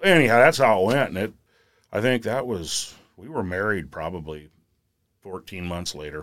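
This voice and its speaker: A man speaks at a moderate pace in a fairly low voice with lively intonation and big swings in loudness. His long, frequent pauses come through on a very clean recording with a silent background. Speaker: steam fitter. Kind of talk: casual chat.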